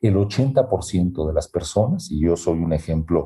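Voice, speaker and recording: A man's very deep, low voice, somewhat breathy and dark, mellow in tone, against a quiet background. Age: 50s. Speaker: human resources executive. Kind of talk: interview.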